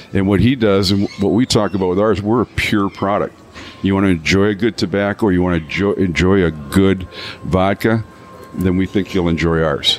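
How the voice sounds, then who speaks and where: Over noticeable background noise, the voice keeps a moderate pace and very even loudness. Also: man, fairly low pitch for a man. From Canada. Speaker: vodka brand founder. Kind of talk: casual interview. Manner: animated storytelling.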